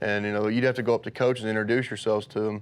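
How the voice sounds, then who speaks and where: A man speaks at medium pitch with an Appalachian Kentucky accent. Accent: noticeable Appalachian Kentucky. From eastern Kentucky. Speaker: college football player. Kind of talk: interview. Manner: many filler words.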